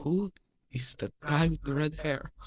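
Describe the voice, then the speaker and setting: A put-on character voice at a low-to-middle pitch and a moderate pace. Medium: actual play. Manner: teasing, secretive.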